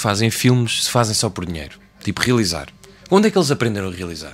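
Talking at a very fast pace, a man with a European Portuguese accent lets his pitch swing very widely. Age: 20s. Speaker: podcast co-host. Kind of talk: casual chat.

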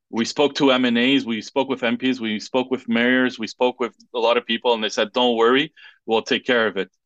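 In a French accent, a man talks at a fairly quick pace in a flat monotone at medium pitch, with a quiet background and a dry, close sound with no echo. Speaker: political candidate. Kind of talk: interview. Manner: halting.

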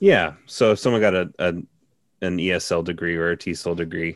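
With a Midwestern American accent, a man speaks at a moderate pace in a very deep, low voice with fairly even intonation against a quiet background. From Cincinnati, Ohio. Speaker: linguist. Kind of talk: casual interview.

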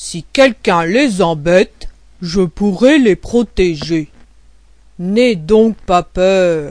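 Using a put-on character voice, a man speaks very slowly in a high pitch with lively intonation.

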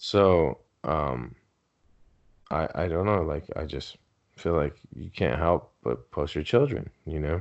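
A man's very slow, very deep, low voice with vocal fry, ordinary pitch variation and long, frequent pauses, in a Southern Californian accent. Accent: Southern California American. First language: Spanish. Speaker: podcast co-host. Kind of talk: casual chat.

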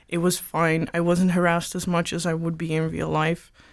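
A moderate pace in a Dutch accent, on a very clean recording with a silent background. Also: woman. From Netherlands. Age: 20s. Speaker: gender studies student. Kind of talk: casual chat. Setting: studio.

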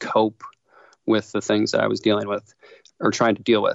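A man is speaking. He has an American accent. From Wisconsin (Milwaukee). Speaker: screenwriter and filmmaker. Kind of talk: interview. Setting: remote call. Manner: mechanical.

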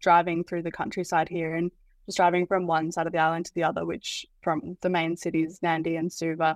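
On a very clean recording with a silent background and a dry, close sound with no echo, a woman with an Australian accent speaks at a fairly quick pace and a fairly low pitch. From Australia, Byron Shire, New South Wales. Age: 20s. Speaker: university student. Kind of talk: interview.

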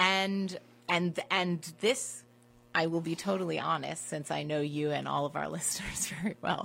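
Using an ordinary speaking voice, a woman talks at a moderate pace with a fairly low pitch and ordinary pitch variation. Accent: American. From Washington DC. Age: 30s. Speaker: wine professional. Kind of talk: casual interview chat.

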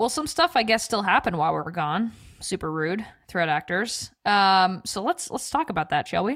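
With an animated tone, a woman at medium pitch makes very wide pitch swings. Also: very clean recording, silent background. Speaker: podcast co-host. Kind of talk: casual chat.

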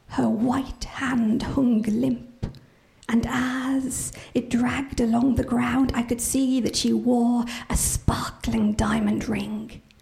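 Against noticeable background noise, a woman talks at a very slow pace with very even loudness. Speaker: professional storyteller. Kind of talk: live oral telling of a chilling traditional folktale, ghost-story style. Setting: stage with live audience. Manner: slow, suspenseful build with hushed, repeated phrases; vivid, dramatic delivery voicing characters' dialogue.

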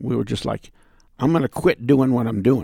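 A man speaks at a medium pitch. Vocal fry runs through his voice. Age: 70s. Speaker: retired man at advice booth. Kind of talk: casual interview chat.

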